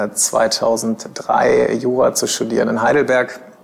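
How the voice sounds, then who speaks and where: A man's voice over noticeable background noise. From Germany, Bielefeld (East Westphalia). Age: 30s. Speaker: lawyer and in-house counsel. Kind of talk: interview conversation. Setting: office of his employer. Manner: hesitant, many filler sounds.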